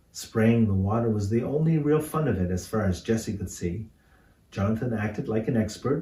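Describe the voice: Lively intonation in a plain read-aloud delivery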